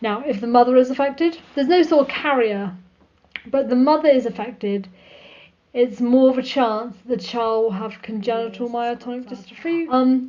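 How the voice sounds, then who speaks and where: A woman speaks at a moderate pace in a high voice. Her pitch varies in an ordinary way. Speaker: video blogger. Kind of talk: casual vlog talk. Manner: sometimes mumbles.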